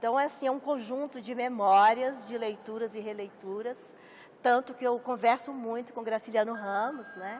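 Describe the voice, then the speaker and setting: Speaking in a Minas Gerais accent, a woman uses fairly even intonation at a fairly high pitch. Her volume rises and falls in big swings. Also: moderate pace. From Brazil, Minas Gerais. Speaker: writer. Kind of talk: interview.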